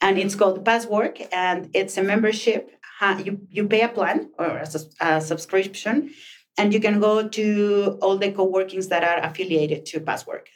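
A woman speaks with a Mexican accent at a medium pitch. Her pace is moderate. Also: ordinary pitch variation. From northern Mexico, Chihuahua. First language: Spanish. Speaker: co-working space communications manager and author. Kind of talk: interview. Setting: podcast room at a co-working space.

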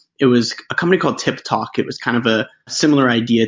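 A man with an unremarkable speaking voice, medium pitch and ordinary pitch variation, talking at a fairly quick pace. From Canada. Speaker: startup founder. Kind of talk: interview.

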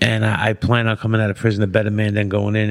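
Against a silent background on a very clean recording, a man with a New York accent talks at a fairly quick pace. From Brooklyn, New York. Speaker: formerly incarcerated man, entrepreneur. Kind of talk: casual chat.

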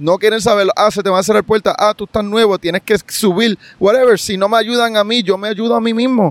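Talking at a fairly quick pace with hardly any pauses, a man uses a high pitch and fairly even intonation in a dry, close sound with no echo. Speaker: sports podcast host. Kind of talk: casual interview chat. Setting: outdoors at the beach.

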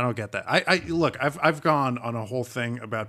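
A very clean, silent-background recording of an ordinary speaking voice at a moderate speed. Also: man. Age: 30s. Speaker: podcast co-host. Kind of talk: casual chat.

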